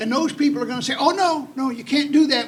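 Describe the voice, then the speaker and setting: A man talks while noticeable background noise continues behind him. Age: 70s. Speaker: state legislator. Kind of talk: panel discussion.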